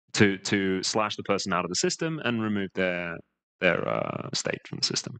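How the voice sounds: A man with a fairly bright tone and lively intonation, at a moderate pace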